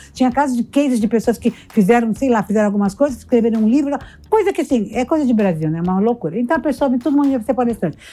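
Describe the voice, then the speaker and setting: A woman speaks at a very fast pace, her high voice dark and mellow in tone. Her intonation is lively, while her loudness stays very even. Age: 60s. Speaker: motivational speaker and entrepreneur. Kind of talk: casual interview.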